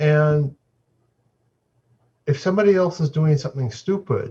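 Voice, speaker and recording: Somewhat breathy and dark, mellow in tone, this man's voice sits fairly high. He speaks at a fairly slow pace. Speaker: Buddhist monk and dharma teacher. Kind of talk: dharma talk. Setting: video call.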